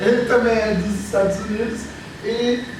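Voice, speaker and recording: A man with a high-pitched voice and fairly even intonation speaks in a room with audible echo and noticeable background noise. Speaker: clown and theatre artist, lecturer. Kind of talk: lecture.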